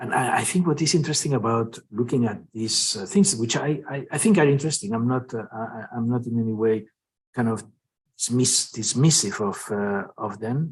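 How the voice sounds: The voice has a slightly husky edge and ordinary pitch variation. It moves at a moderate pace. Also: man, medium pitch for a man.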